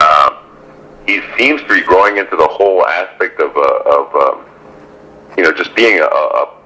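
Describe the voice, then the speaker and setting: Man's voice against noticeable background noise. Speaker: boxing ring announcer. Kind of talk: interview answer.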